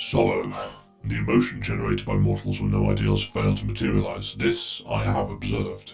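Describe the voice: With faint music in the background, a man puts on a character voice at an extremely low pitch, robotic and processed, slightly mellow in tone, monotone and flat, with vocal fry at a moderate pace.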